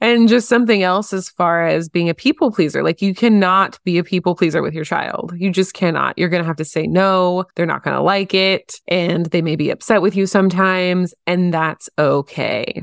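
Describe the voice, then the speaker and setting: A woman in an ordinary speaking voice at medium pitch, with fairly even intonation, a moderate pace and hardly any pauses, in a very clean recording with a silent background and a dry, close sound with no echo. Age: 30s. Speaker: podcast host. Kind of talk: solo podcast monologue. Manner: casual, conversational.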